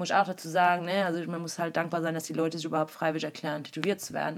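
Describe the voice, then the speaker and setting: A woman with a fairly low pitch speaks at a very fast pace in a monotone with flat intonation. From East Belgium, German-speaking village. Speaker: tattoo artist. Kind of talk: casual chat.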